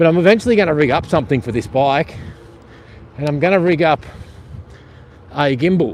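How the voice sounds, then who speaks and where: A man with an Australian accent, fairly high in pitch with ordinary variation, at a fairly quick pace broken by long, frequent pauses. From Australia (rural Victoria). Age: 50s. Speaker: vlogger. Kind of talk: casual live-stream commentary while riding. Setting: outdoors on an e-bike by the coast.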